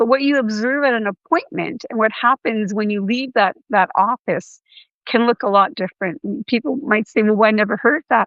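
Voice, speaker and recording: A woman with a Canadian accent has an ordinary speaking voice. She speaks at a moderate pace in a fairly high pitch with ordinary pitch variation. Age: 60s. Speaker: patient advocate. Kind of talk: podcast interview.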